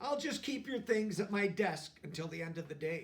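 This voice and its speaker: At a moderate pace, the speaker does a put-on character voice. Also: man. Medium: read story. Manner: friendly, easygoing.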